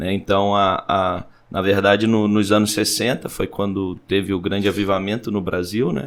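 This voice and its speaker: A man with a Rio de Janeiro accent talks at a moderate pace in a fairly low pitch, with fairly even intonation. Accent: carioca (Rio de Janeiro). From Brazil, raised in São Paulo state and south, born Petrópolis. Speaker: pastor. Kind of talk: podcast interview.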